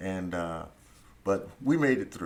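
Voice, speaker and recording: A man with an American accent is speaking, and room echo is audible. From US, Philadelphia. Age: 70s. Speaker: Vietnam War veteran and lawyer. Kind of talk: interview. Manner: halting, many fillers.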